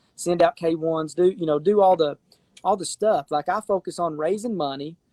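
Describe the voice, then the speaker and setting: A man's high-pitched voice in an Appalachian accent, with ordinary pitch variation and a dry, close sound with no echo. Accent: Appalachian Southern US. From Appalachia, eastern Kentucky / east Tennessee. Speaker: real estate investor and fund founder. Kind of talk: casual interview chat. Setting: live stream. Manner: halting, many repetitions and fillers.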